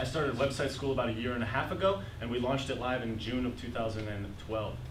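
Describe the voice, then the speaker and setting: Noticeable background noise and audible room echo surround the speech. A man talks through it very fast. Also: medium pitch for a man, ordinary pitch variation. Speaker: web developer presenting at a meetup. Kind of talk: presentation. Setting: meetup audience.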